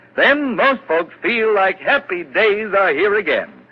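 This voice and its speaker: A man speaks at a moderate pace in a high pitch. Noticeable background noise sits behind him. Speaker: radio announcer. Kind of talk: vintage radio commercial read.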